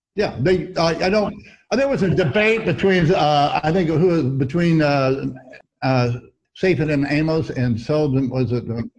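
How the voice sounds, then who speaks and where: A fairly high-pitched man with an American accent speaks at a fairly slow pace, his intonation lively and his loudness very even. The room adds audible echo. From Missouri, US Midwest. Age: 70s. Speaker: veteran trader. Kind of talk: interview. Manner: halting.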